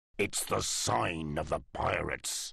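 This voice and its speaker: Growling in a put-on character voice, the speaker moves at a fairly slow pace. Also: man, very deep, low pitch for a man. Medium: audio drama. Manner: gruff, fearful.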